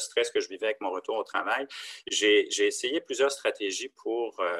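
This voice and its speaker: With no echo at all, this man's voice sounds close and dry. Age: 50s. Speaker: leukemia patient sharing experience. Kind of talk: interview testimony. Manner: halting, many hesitations.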